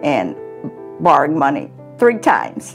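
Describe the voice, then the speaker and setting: A woman speaks at a very slow pace. Clear music plays in the background. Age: 70s. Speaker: homeowner, charity fund recipient. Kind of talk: interview answer. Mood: warm, grateful. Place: kitchen. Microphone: lapel.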